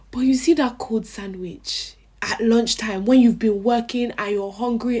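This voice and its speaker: Her fairly high voice, somewhat breathy and fairly even in intonation, moves at a fairly slow pace as this woman speaks. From Africa. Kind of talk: casual vlog.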